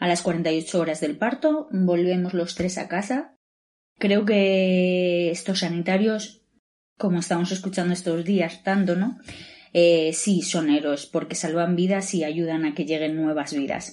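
A woman with a dark, mellow tone and fairly low pitch speaks fairly slowly, with ordinary pitch variation. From Valladolid, Spain. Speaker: new mother and show contributor. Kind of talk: testimony.

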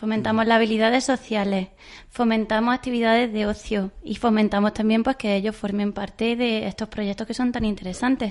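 A woman with a fairly high pitch speaks in a normal speaking voice with fairly even intonation. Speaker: occupational therapist. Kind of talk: interview.

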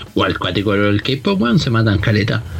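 Over noticeable background noise, a man with a Chilean accent speaks very fast with fairly even intonation. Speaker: podcast host. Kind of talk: casual chat. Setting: Skype call.

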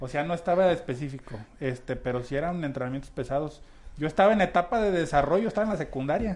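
With a normal speaking voice, a man pitched fairly high talks at a fairly quick pace with lively intonation. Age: 30s. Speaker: local political hopeful and volunteer. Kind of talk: radio interview.

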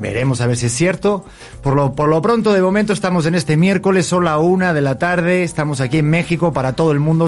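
A man with a Spanish accent, a very fast pace and ordinary pitch variation. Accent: Spanish (Spain). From Spain, Madrid. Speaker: talk show host. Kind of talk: casual interview chat. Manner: animated.

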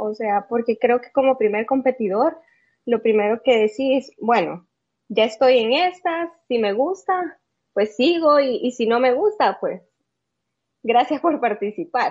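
Speaking fairly slowly with a Salvadoran accent, a woman uses a high pitch and lively intonation. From El Salvador. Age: 30s. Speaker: bodybuilder. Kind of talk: interview. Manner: halting, many fillers.

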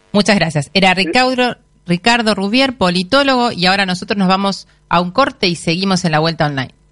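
A woman's medium-pitched voice at a fairly quick pace, with lively intonation and very even loudness. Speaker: radio host. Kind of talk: interview. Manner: halting, many fillers.

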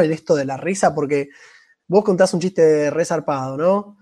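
The speaker uses a normal speaking voice with ordinary pitch variation against a quiet background. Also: man. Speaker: amateur stand-up comedian and podcast co-host. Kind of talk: casual chat.

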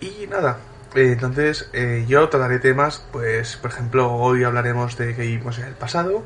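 A man speaks at a medium pitch and a moderate pace, with ordinary pitch variation. Noticeable background noise runs behind him. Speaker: podcast segment presenter. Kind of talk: humorous segment.

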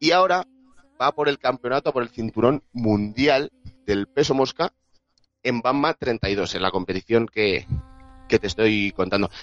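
In a Madrid accent, a man speaks at a fairly slow pace and medium pitch with long, frequent pauses, recorded in a dry, close sound with no echo. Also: lively intonation. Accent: Castilian Spanish (Madrid). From Spain, Madrid. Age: 20s. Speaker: sports journalist. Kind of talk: casual chat.

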